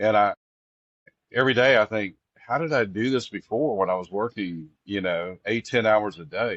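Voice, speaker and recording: A man speaks with a Texas accent. His pitch sits fairly low. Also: ordinary pitch variation, moderate pace, dry, close sound with no echo. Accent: Texas Southern. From Texas Gulf Coast. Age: 60s. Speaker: singer-songwriter. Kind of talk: casual interview. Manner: halting, many fillers.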